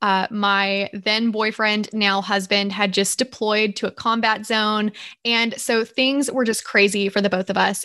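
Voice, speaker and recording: Fairly even intonation in a Southern US accent. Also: woman. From Georgia, US South. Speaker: business owner, podcast co-host. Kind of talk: casual chat.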